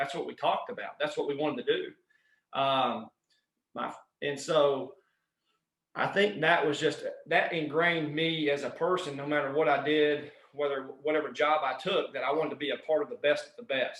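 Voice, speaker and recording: A man with a Southern US accent speaks at a moderate pace in a fairly high voice with ordinary pitch variation. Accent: Southern US twang. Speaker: strength and conditioning coach. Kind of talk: podcast interview answer.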